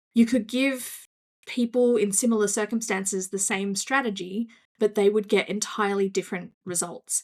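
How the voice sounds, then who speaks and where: At a moderate pace, a woman with an Australian accent speaks at a medium pitch with fairly even intonation. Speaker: business coach. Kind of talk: casual interview.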